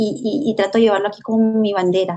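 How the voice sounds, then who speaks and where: Fairly high female voice, dark and mellow in tone, with ordinary pitch variation. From Venezuela, Valera, Trujillo state (Andes). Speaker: social worker and journalist, migrant. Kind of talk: interview testimony. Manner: hesitant, repeats words.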